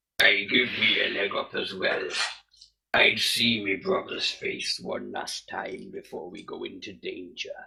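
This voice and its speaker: Put-on male character voice at a fairly slow pace. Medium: actual play. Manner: blunt, plain-spoken.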